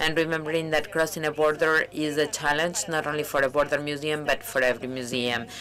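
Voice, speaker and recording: Talking at a very fast pace with hardly any pauses, a woman uses a very deep, low pitch and fairly even intonation. Noticeable background noise runs beneath her. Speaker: museum director. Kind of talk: conference talk.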